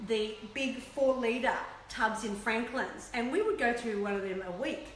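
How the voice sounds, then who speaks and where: A woman with an Australian accent speaks at a high pitch, with audible room echo and noticeable background noise. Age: 60s. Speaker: health and weight-loss presenter. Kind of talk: live-stream talk to viewers. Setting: live video stream. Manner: chatty.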